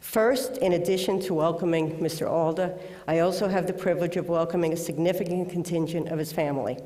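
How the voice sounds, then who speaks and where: Speech moves at a fairly quick pace with an American accent. Noticeable background noise runs underneath. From New York City, the Bronx. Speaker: award presenter. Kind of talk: award introduction speech. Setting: auditorium with audience, webcast.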